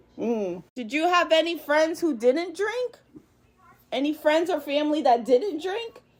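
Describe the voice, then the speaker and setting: Loud and high-pitched, a woman speaks at a fairly slow pace with very wide pitch swings. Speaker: podcast host. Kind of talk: interview questions.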